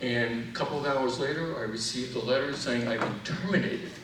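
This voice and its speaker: Amid noticeable background noise and audible room echo, a man at medium pitch speaks at a fairly quick pace with ordinary pitch variation. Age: 70s. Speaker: physician and medical researcher. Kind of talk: public testimony speech.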